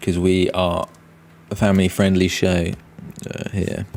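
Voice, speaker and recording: Over noticeable background noise, a man with a very deep, low pitch speaks fairly slowly in a monotone, flat way. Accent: British. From Britain. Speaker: comic artist and streamer. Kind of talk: live stream chat. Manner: halting, many fillers.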